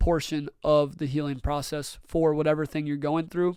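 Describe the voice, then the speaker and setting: A man speaks in an animated tone. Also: very clean recording, silent background. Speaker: podcast host. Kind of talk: solo podcast monologue. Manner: casual, animated.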